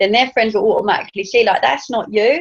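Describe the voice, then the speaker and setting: With an English accent, a woman talks. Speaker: network marketing team leader. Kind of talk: training talk. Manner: fast.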